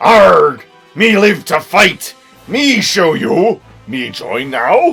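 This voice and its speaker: A put-on character voice, fairly high in pitch, goes at a very slow pace. Faint music plays in the background. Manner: gruff, growling.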